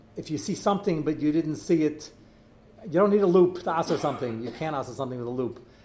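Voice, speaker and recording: In an American accent, a man speaks very fast at a fairly high pitch with ordinary pitch variation, and room echo is audible. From New York, Brooklyn. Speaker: rabbi teaching a kashrus class. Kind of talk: lecture.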